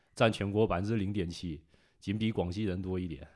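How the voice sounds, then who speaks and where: In a northeastern Chinese accent, a man speaks with a fairly low pitch and a dark, mellow tone. His pitch varies in an ordinary way, on a very clean recording with a silent background. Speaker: culture enthusiast guest. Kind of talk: casual chat.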